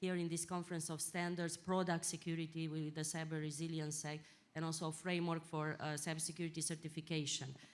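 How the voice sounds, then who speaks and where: A woman's fairly low voice at a very fast pace, monotone and flat, with audible room echo. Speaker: European Commission official. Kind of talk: panel discussion. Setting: conference stage with audience. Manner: loud; halting. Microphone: too far from the mic.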